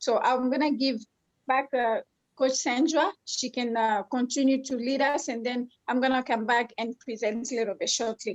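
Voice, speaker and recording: The speaker has a French accent and a moderate pace. The intonation stays fairly even. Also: woman, high pitch for a woman. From Congo. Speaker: life coach and co-host. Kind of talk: online conference talk.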